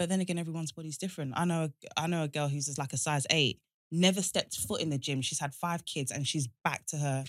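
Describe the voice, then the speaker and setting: Over a very clean recording with a silent background, a woman talks at a very fast pace in a very deep, low voice with fairly even intonation. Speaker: podcast co-host. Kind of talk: casual chat.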